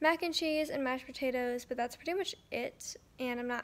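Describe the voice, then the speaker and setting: A woman mumbles in a high pitch with ordinary pitch variation. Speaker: vlogger. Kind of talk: casual vlog chat. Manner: mumbled, swollen-jaw speech. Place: home room. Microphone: phone near.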